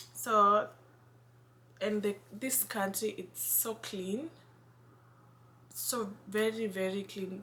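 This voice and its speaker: A woman with a Kenyan accent speaks at a medium pitch in a bright, sharp tone with ordinary pitch variation. Her pace is very slow, with long, frequent pauses. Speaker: vlogger. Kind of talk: casual vlog. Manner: halting, self-correcting.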